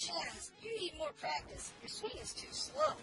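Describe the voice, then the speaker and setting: A woman uses a put-on character voice, squeaky and extremely high in pitch. She speaks at a fairly slow pace over clear background noise. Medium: solo performance. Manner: cool, curt.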